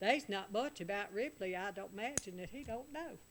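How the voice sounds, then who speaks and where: A woman speaks with a Southern US accent at a fairly quick pace. Her pitch is medium and her intonation lively. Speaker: radio talk show host. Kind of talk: radio call-in show hosting.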